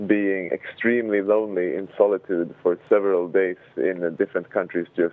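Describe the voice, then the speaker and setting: A man with a Swedish accent, very deep and low in pitch, at a moderate pace with fairly even intonation. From Sweden. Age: 20s. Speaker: human rights activist. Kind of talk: interview.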